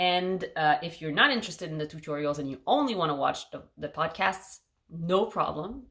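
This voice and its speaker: With a Quebec accent, a woman speaks at a moderate pace in a fairly low voice. Her intonation is lively. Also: big swings in loudness. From Quebec, Montreal. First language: French. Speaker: knitting podcaster. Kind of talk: casual chat.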